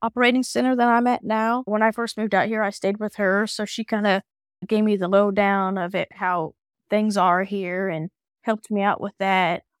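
A woman's normal speaking voice in an American accent, fairly high in pitch, with fairly even intonation at a moderate pace, dry and close with no echo, on a very clean recording with a silent background. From Kansas City, US Midwest. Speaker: lineworker. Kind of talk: casual interview.

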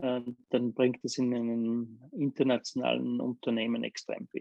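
Very slowly and in a monotone, flat intonation, a man speaks at medium pitch. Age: 50s. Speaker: business executive. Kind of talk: interview. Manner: halting with frequent fillers.

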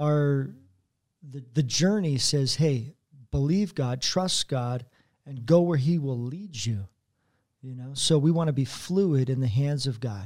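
Here is an ordinary speaking voice from a man with an American accent. He talks at a fairly slow pace, fairly high in pitch, with ordinary pitch variation. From Colorado, US. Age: 40s. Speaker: youth pastor. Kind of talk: casual chat.

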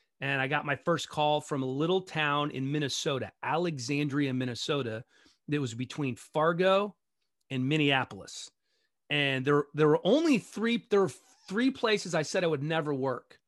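In a plain, everyday voice with an American accent, a man speaks at a moderate pace and a fairly high pitch with ordinary pitch variation, the sound dry and close with no echo against a quiet background. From Maryland, DC area (Montgomery County). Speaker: sports broadcaster. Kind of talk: casual interview chat.

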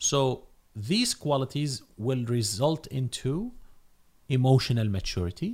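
On a very clean recording with a silent background, a somewhat breathy man with an Arabic accent speaks at a medium pitch with lively intonation. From North Africa. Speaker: imam and Islamic scholar. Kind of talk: religious talk in podcast interview.

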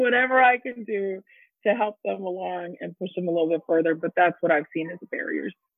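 A woman talks at a moderate pace with an American accent. Hers is a normal speaking voice. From Texas. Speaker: camp activities director. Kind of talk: panel discussion.

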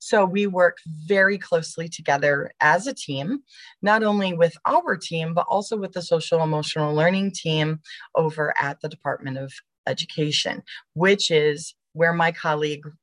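A woman's voice, fairly low in pitch, a normal speaking voice with ordinary pitch variation at a moderate pace. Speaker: education services director presenter. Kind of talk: webinar presentation with Q&A. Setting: online webinar.

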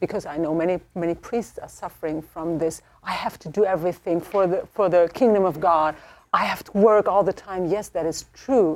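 At a moderate pace, a woman with a German accent speaks in a fairly low voice, with ordinary pitch variation and big swings in loudness. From Germany. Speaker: theology professor. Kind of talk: panel discussion.

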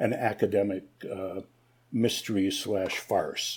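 This is a man with an American accent and a fairly low, somewhat breathy voice. The recording is very clean, with a silent background. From US Midwest, Ann Arbor, Michigan. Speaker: fiction writer. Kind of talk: interview. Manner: halting, many fillers.

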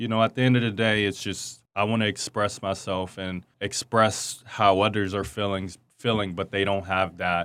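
In an unremarkable speaking voice, a fairly low-pitched man keeps fairly even intonation and a moderate pace with hardly any pauses, recorded very cleanly against a silent background. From Seattle, Ivory Coast and Paris. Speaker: chef. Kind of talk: casual interview. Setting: radio studio.

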